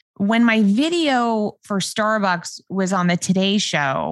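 A woman with an American accent at a fairly slow pace, in a dry, close sound with no echo. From New York. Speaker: prank video creator. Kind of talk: casual chat.

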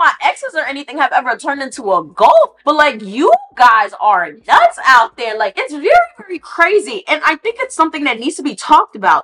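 A woman projects her raised, high-pitched voice with very wide pitch swings and an animated tone. She goes at a fairly quick pace, and the sound is dry and close with no echo. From Haitian heritage. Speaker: podcast host. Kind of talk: casual commentary.

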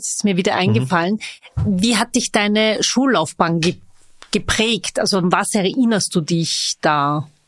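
This is a plain, everyday voice with lively intonation at a moderate pace. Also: woman. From Vienna. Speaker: podcast host. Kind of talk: casual interview.

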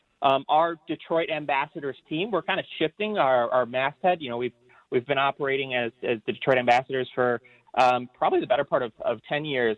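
Fairly high in pitch, a man speaks at a fairly quick pace. His pitch variation is ordinary. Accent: American. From Michigan, Ann Arbor. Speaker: tour program manager. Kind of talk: interview. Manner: halting, many fillers.

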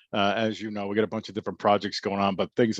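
A man with a strong Boston accent talks at a very fast pace in a fairly low voice. The sound is dry and close with no echo, over a quiet background. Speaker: author. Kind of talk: interview.

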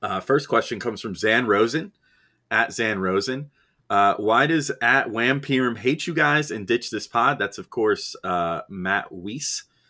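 In a bright, sharp tone, a man speaks fairly slowly at a medium pitch with lively intonation on a very clean recording with a silent background. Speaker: podcast host and site editor. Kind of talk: casual podcast chat, mailbag Q&A. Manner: casual, joking, chatty.

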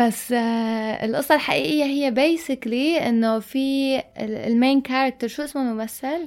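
A woman with a high pitch speaks at a fairly slow pace. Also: ordinary pitch variation. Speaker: podcast co-host. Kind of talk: casual chat. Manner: loud.

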